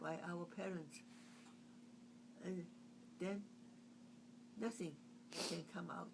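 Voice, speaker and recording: Speaking very slowly with long, frequent pauses, a woman with a Chinese accent is heard amid audible room echo. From China. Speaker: artist. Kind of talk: oral history interview. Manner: halting.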